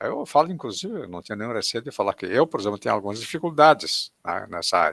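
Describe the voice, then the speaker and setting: Male voice with a bright, sharp tone and very wide pitch swings, recorded dry and close with no echo. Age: 80s+. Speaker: event moderator. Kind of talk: online talk Q&A.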